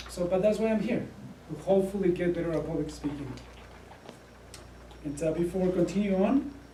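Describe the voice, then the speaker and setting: This man speaks in a Spanish accent, high-pitched and fairly quick, with ordinary pitch variation. The room echoes audibly and there is noticeable background noise. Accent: Spanish accent, thicker when nervous. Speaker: Air Force officer and student. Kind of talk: prepared speech. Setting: club meeting with audience. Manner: halting, many fillers.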